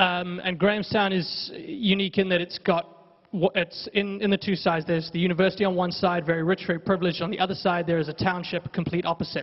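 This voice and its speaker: Over noticeable background noise, a high-pitched man rattles off words at a very fast pace in a flat monotone. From South Africa. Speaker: hip-hop journalist, audience member. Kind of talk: audience question. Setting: theatre audience, roving mic.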